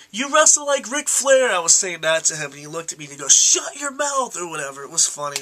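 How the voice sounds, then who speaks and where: Through noticeable background noise, a man's voice makes very wide pitch swings. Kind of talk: casual talk to camera.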